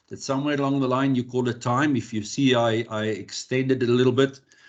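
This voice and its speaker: A man with an Afrikaans accent speaks at a medium pitch. His pace is moderate and his intonation fairly even. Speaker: electrical compliance specialist. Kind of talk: workshop presentation. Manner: halting, many repeated words.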